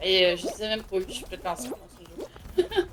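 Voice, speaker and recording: A woman with a Quebec accent at a medium pitch and a very fast pace, fairly even intonation and noticeable background noise. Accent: Québécois French. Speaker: gaming streamer. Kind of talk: casual chat. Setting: live stream. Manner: loud.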